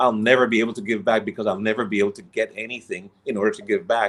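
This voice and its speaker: A man with an ordinary speaking voice talks at medium pitch with ordinary pitch variation. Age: 60s. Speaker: inspirational coach. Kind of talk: interview.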